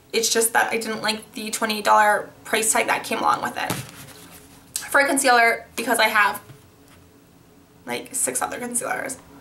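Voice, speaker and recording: A woman's fairly high voice holds fairly even intonation, with noticeable noise in the background. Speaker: beauty vlogger. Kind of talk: casual haul review. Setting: new apartment, filming to camera.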